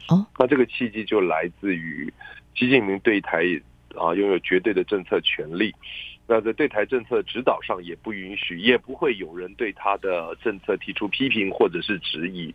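Here a man with an unremarkable speaking voice talks at a moderate pace and a fairly low pitch. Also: ordinary pitch variation. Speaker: associate professor of international trade, political analyst. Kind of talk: radio interview, expert analysis. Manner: measured, formal with frequent fillers.

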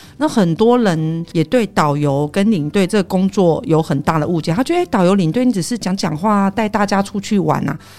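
Speaking with a Taiwanese accent at a medium pitch, a woman moves at a moderate pace with lively intonation and hardly any pauses. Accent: Taiwanese Mandarin. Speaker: tour leader and Japanese interpreter. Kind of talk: casual chat.

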